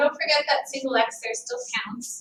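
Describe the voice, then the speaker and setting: A woman's high, raised and projected voice, quick-paced with lively intonation. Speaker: math teacher. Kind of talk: recorded lesson walkthrough. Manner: fast.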